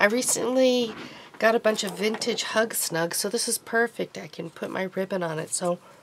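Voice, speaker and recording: A woman is speaking. Noticeable noise can be heard behind her. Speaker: crafter. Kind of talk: craft tutorial. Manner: casual, halting with fillers.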